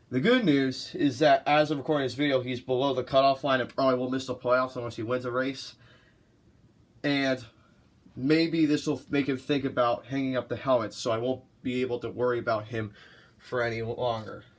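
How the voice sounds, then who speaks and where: On a very clean recording with a silent background, a man speaks at a medium pitch in a monotone, flat way. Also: fairly quick pace. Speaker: NASCAR commentary YouTuber. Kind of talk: casual talk to camera. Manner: stuttering at times.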